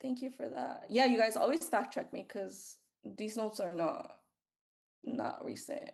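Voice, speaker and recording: A woman at a fairly high pitch with vocal fry, lively intonation and a fairly slow pace. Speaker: nursing student tutor. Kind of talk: review session. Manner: casual.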